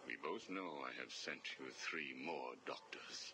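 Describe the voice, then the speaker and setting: A man performs a put-on character voice. Loud background noise runs behind him. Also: fairly slow pace. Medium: video game. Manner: formal, measured, no contractions.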